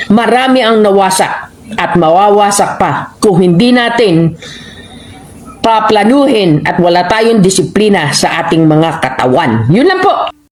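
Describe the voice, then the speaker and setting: Against noticeable background noise, a woman speaks fairly slowly at medium pitch, her intonation lively and her loudness very even. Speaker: overseas Filipino worker. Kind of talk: commentary. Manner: animated.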